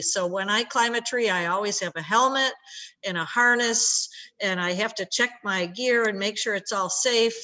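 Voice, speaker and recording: This woman has an American accent and a plain, everyday voice at medium pitch. She speaks at a moderate pace with ordinary pitch variation. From upstate New York. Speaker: scientist. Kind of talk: educational talk for schoolchildren. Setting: video call.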